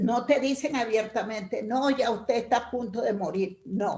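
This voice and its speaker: A woman with an unremarkable speaking voice talks at a fairly slow pace, her pitch fairly high and its variation ordinary. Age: 60s. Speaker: workshop participant. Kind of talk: group discussion comment.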